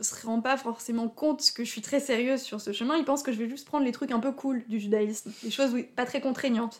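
A woman speaks with a high pitch and fairly even intonation. Her pace is fairly quick. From Alsace, France (Haut-Rhin). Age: 20s. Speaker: convert to Judaism. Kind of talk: personal testimony interview. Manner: hesitant, many fillers.

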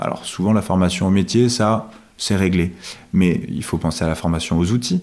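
Very deep and low, a man's voice carries ordinary pitch variation. He talks at a moderate pace. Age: 30s. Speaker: startup co-founder. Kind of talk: interview. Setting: at the guest's home.

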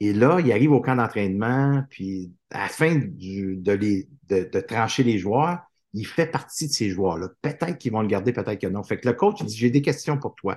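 A man speaks in a plain, everyday voice at a medium pitch and a fairly slow pace. The background is quiet. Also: lively intonation. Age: 50s. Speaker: author and motivational speaker. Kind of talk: casual interview chat.

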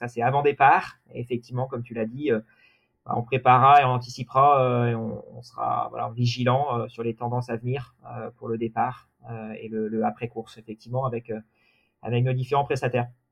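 A man speaks at a fairly quick pace in a monotone, flat intonation, with long, frequent pauses and big swings in loudness. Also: medium pitch for a man. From Normandy, France. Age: 30s. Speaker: deputy race director, sailing. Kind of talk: interview. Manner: halting.

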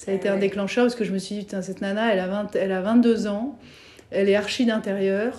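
A woman talks at a fairly quick pace and a medium pitch. Her tone is dark and mellow, and her intonation is monotone and flat. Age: 40s. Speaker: former banker turned entrepreneur. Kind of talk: interview. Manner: hesitant, many fillers.

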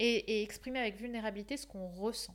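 Moderate-paced speech from a woman, fairly high in pitch and with ordinary pitch variation. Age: 20s. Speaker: life coach. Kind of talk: casual chat.

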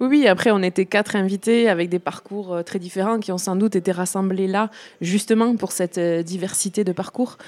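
A woman's unremarkable speaking voice, medium in pitch, with fairly even intonation and a dry, close sound with no echo. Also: moderate pace. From Béarn, southwest France. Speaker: musician and singer. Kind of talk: casual interview.

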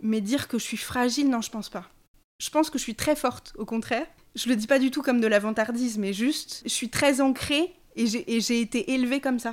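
Over a silent background on a very clean recording, a woman talks at a moderate pace in a high voice. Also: ordinary pitch variation. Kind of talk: casual chat.

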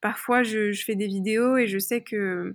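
A woman speaks in a fairly high voice with a monotone, flat intonation. The recording is very clean, with a silent background. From France, Paris area. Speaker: personal development coach. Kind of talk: interview. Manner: hesitant, many fillers.

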